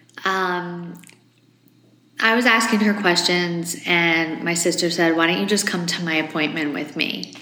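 A woman speaks fairly slowly with fairly even intonation, audible room echo and noticeable background noise. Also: fairly low pitch for a woman. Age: 40s. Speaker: host's wife, former co-host. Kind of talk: casual chat, personal testimony.

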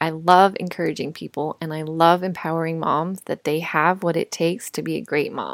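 A woman's fairly low voice, an ordinary speaking voice with an American accent, fairly even intonation, a moderate pace and hardly any pauses, dry and close with no echo. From US, Colorado. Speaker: podcast host, mother and nurse. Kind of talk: casual monologue.

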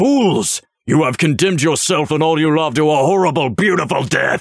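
A man's guttural put-on character voice, fairly high in pitch with ordinary pitch variation, at a moderate pace and very even loudness

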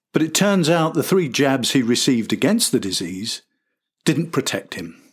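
A man speaks at a fairly slow pace with lively intonation, a slightly husky edge and a medium pitch.

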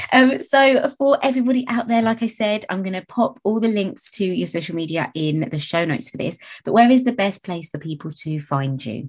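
A woman talks at a fairly quick pace, somewhat breathy. Her pitch swings very widely. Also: medium pitch for a woman. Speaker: podcast host and nail tech. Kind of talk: interview, casual chat. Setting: online call recording.

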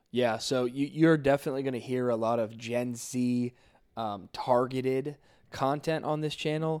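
Fairly even intonation marks an ordinary speaking voice that proceeds at a moderate tempo. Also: man, medium pitch for a man, very clean recording, silent background. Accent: American. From South Florida. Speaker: youth pastor and podcast co-host. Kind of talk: casual chat and testimony.

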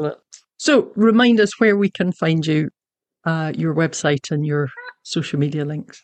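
With a Scottish accent, a woman speaks at a moderate pace in a fairly low pitch with ordinary pitch variation. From Scotland. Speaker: podcast host and young adult novelist. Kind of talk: casual interview; scripted outro.

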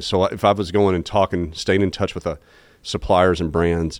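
Fairly quick and in a Southern US accent, a man talks with a very deep, low pitch and fairly even intonation. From Arkansas, Jonesboro. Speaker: entrepreneur and business executive. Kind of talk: candid interview conversation.

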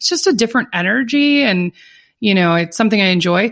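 This woman talks at a fairly quick pace with an American accent. Her tone is animated, with ordinary pitch variation, against a quiet background. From Minnesota. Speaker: psychotherapist and business coach. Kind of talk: interview.

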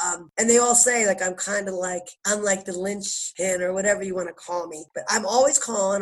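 A woman with a Philadelphia accent speaks at a fairly quick pace in a medium pitch. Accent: Philadelphia American. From Philadelphia, US. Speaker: basketball coach, former pro player. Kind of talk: casual interview. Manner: animated.

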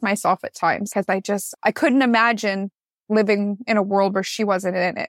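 An ordinary speaking voice with a Canadian accent, at a moderate pace, in a dry, close sound with no echo. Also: woman. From Canada, Newmarket, Ontario. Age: 20s. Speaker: school social worker. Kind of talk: interview testimony.

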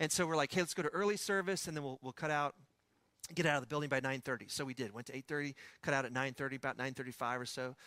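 A man with a West Texas accent, fairly high pitch, a bright, sharp tone and a fairly quick pace. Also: ordinary pitch variation, dry, close sound with no echo, very clean recording, silent background. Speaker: pastor preaching a sermon. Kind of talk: sermon with casual asides. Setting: church sermon. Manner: conversational, storytelling.

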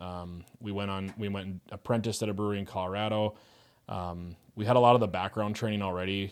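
A man's very fast delivery, fairly low in pitch and monotone with flat intonation, in a very clean recording with a silent background. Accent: Upper Midwest. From US Upper Midwest (Fargo-Moorhead). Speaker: brewery co-founder. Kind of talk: interview conversation.

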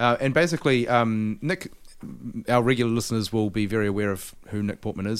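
With a New Zealand accent, a man speaks very fast at medium pitch with ordinary pitch variation, in a very clean recording with a silent background. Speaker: podcast host. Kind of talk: casual interview.

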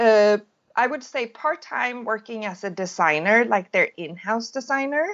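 A woman's lively intonation at a fairly slow pace. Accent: Swedish. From Sweden. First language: Swedish. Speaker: crochet and knitting designer. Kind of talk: interview.

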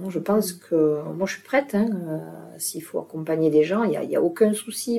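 The voice belongs to a woman. She shows ordinary pitch variation. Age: 60s. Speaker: retired dance teacher, hearing aid ambassador. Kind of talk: interview conversation. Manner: hesitant, with repetitions.

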